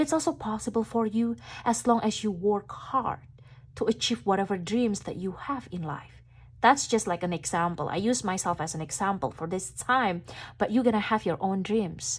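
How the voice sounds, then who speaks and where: In a very clean recording with a silent background, a woman speaks with a non-native accent, a somewhat breathy voice and lively intonation. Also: medium pitch for a woman, moderate pace. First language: not English. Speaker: tarot reader. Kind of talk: tarot reading monologue.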